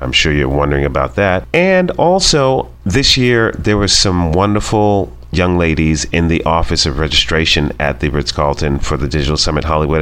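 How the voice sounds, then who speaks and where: A man talks at a fairly quick pace in a very deep, low voice. Noticeable background noise can be heard. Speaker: radio host. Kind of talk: radio interview. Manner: upbeat, friendly.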